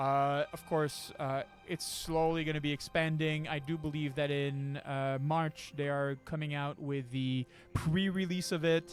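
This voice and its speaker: Music plays in the background as someone with a non-native accent speaks at a fairly slow pace. The intonation is fairly even. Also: man, fairly high pitch for a man. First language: not English. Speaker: dungeon master. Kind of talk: casual chat. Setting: live stream. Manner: halting.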